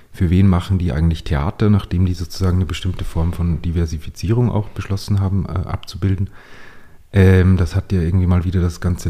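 This man's very deep, low voice is somewhat breathy, with a dark, mellow tone, fairly even intonation and a fairly quick pace. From Upper Austria, Steyr. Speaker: playwright. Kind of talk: casual interview conversation. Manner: halting, many fillers and restarts.

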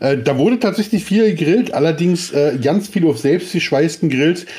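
A man with an unremarkable speaking voice talks at a moderate pace. His pitch sits fairly high, and his intonation is lively. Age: 40s. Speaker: podcast co-host. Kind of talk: casual chat.

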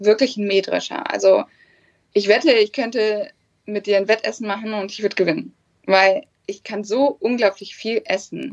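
Speaking at a moderate pace, a woman uses a plain, everyday voice that sits fairly high, with ordinary pitch variation. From northern Germany, Hannover area. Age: 20s. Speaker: bikini fitness athlete. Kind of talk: casual chat.

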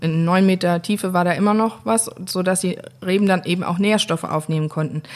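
This woman has an ordinary speaking voice, talking at a moderate pace with medium pitch and ordinary pitch variation. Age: 30s. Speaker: winemaker. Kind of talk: interview. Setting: at the winery, face to face.

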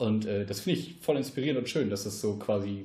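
A man speaks at a very fast pace, his voice somewhat breathy. His pitch is fairly low and his tone dark and mellow. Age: 20s. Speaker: podcast host. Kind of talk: casual chat. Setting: home podcast studio.

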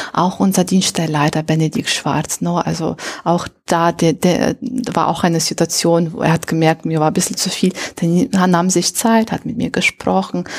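Speaking at a fairly low pitch with ordinary pitch variation, a woman talks in a non-native accent. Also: moderate pace. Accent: foreign accent in German. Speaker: integration coordinator at a refugee meeting centre. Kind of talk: interview. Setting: meeting centre room.

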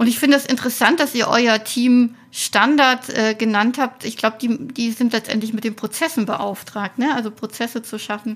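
A normal speaking voice from a woman, fairly high in pitch, at a moderate pace with fairly even intonation and hardly any pauses. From Thuringia, Weimar. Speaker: podcast host. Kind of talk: interview.

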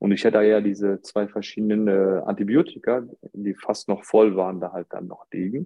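Pitched fairly low, a man talks at a moderate pace in an ordinary speaking voice. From Germany. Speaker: podcast guest. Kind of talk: casual chat.

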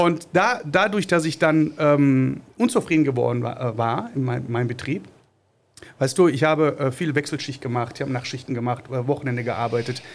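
A man's fairly high voice at a moderate pace. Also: ordinary pitch variation. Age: 40s. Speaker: small business owner, trained industrial mechanic. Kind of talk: podcast interview. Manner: halting, many filler sounds.

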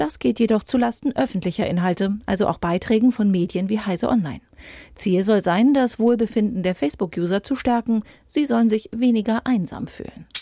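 In a very clean recording with a silent background, a fairly high-pitched woman speaks fairly quickly in a somewhat breathy voice with a dark, mellow tone and ordinary pitch variation. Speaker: news presenter. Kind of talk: formal newsreading, crisp bulletin-style headlines and short factual items. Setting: studio. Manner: formal; brisk, even and neutral, steady delivery.

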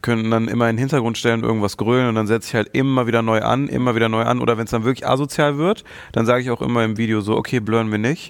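A man talks at a very fast pace with medium pitch. His intonation is fairly even and his loudness very even. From Germany, Mönchengladbach (Lower Rhine). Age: 30s. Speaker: content creator guest. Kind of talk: casual chat.

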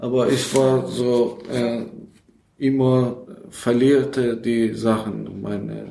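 A man at medium pitch in a Persian accent, very slow, with monotone, flat intonation and audible room echo. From Iran (Afghan family). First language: Persian (speaking German). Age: 20s. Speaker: recovering alcoholic, refugee. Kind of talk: interview. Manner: halting.

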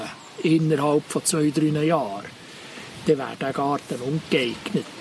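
A man's fairly high voice, very slow, with ordinary pitch variation over noticeable background noise. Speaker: agronomist. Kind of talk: casual chat.

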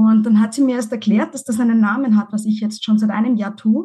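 Somewhat breathy, a woman speaks at a fairly high pitch and a moderate pace with fairly even intonation. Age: 40s. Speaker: divorced mother, podcaster. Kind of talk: interview.

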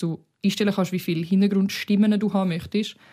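On a very clean recording with a silent background, a woman speaks at a fairly quick pace. Her somewhat breathy voice has a dark, mellow tone and monotone, flat intonation. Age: 20s. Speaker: podcast co-host. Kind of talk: casual chat.

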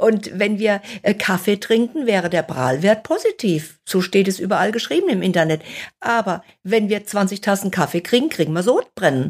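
A woman speaks at a moderate pace in an ordinary speaking voice, medium in pitch with lively intonation. Her loudness stays very even on a very clean recording with a silent background. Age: 60s. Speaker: nutrition author and fasting expert. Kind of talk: interview.

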